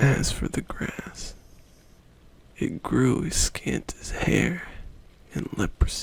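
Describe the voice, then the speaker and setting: Very slowly, a person whispers while noticeable background noise plays. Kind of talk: ASMR poetry reading. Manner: soft, quiet, late-night delivery.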